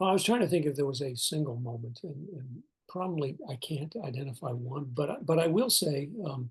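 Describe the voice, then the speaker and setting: A man with an American accent talks at a fairly quick pace in a fairly high, somewhat breathy voice with lively intonation. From eastern US. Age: 60s. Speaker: retired national park superintendent. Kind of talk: interview. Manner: halting, many fillers.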